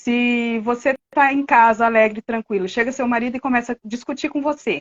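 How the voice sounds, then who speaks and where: This woman's intonation is fairly even, and her pitch is high. She talks at a moderate speed. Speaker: hypnotherapy student, therapist. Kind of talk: live-stream conversation.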